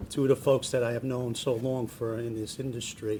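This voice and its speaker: Noticeable background noise sits behind this man's voice. He has a medium pitch, a northern New Jersey accent and fairly even intonation. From New Jersey, Jersey City. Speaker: state transportation official. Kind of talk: public speech. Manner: hesitant, many fillers and restarts.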